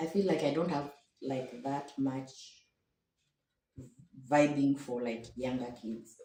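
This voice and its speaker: A woman's very slow, very deep and low-pitched speech with fairly even intonation, long, frequent pauses and audible room echo. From Kenya. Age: 60s. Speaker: matchmaking show guest. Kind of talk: interview. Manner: halting.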